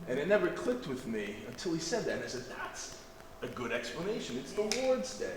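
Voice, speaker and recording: A man speaks with very wide pitch swings. Noticeable background noise and audible room echo surround him. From Massachusetts. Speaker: deacon, religious class teacher. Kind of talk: religious class lecture. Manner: casual with many fillers.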